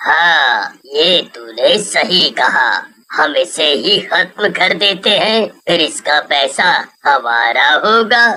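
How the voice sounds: A cartoonish character voice, female-sounding and middle in pitch, at a very slow pace.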